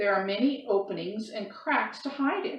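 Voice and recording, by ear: The speaker is reading aloud in a natural voice.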